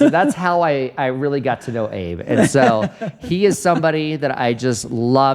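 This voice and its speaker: A man talks at a moderate pace in an animated tone. There is noticeable background noise. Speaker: podcast host. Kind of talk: casual chat.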